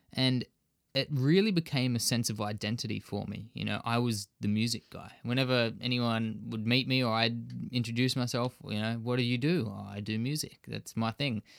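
With an Australian accent, a man speaks at a moderate pace and medium pitch, his intonation fairly even. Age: 20s. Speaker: fitness enthusiast and MMA trainee. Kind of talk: casual interview.

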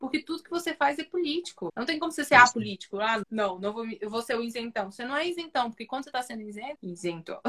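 Talking at a very fast pace, a woman with a high pitch uses lively intonation in a dry, close sound with no echo, though noticeable background noise is present. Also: hardly any pauses. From Brazil, Brasília outskirts (Ceilândia, Taguatinga). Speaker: comedian. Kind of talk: casual chat.

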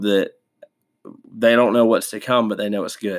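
A man talks at medium pitch in a very clean recording against a silent background. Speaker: Bible study podcast host. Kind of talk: devotional Bible study talk. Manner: halting, many fillers.

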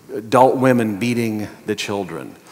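Fairly even intonation marks this voice with an American accent, heard over noticeable background noise. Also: man. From Montana, US. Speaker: pastor. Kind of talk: sermon.

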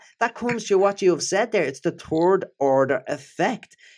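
A man's high-pitched voice with a Dublin accent, lively intonation and a moderate pace, in a very clean recording with a silent background. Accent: Dublin Irish. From Ireland, Dublin. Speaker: neuroscientist and author. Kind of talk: interview conversation.

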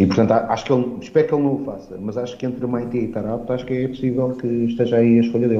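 A man talks at a very fast pace with fairly even intonation. Background noise is noticeable. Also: medium pitch for a man. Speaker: football commentator. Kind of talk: casual chat. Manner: hesitant, many filler sounds.

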